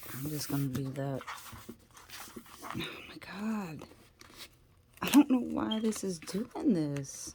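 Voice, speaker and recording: A woman speaks very slowly in a very deep, low voice, with very wide pitch swings and big swings in loudness. Her speech has long, frequent pauses over noticeable background noise. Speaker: crafter making handmade journals. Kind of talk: tutorial. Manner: quiet, sparse talk while focused; casual, thinking aloud.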